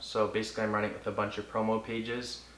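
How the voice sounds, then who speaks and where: Audible room echo and noticeable background noise around a man talking at a very fast pace. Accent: Canadian. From Cambridge, Ontario, Canada. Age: 20s. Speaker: music promoter and artist. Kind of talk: interview.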